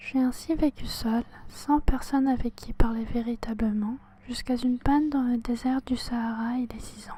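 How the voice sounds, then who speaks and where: Noticeable background noise can be heard. Over it, a woman whispers. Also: moderate pace. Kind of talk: audiobook reading. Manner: whispered.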